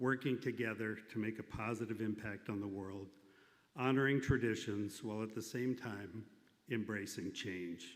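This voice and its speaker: A man with an American accent, medium pitch, a normal speaking voice, moderate pace and fairly even intonation. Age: 60s. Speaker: ethical society member and leader. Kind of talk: personal testimony speech.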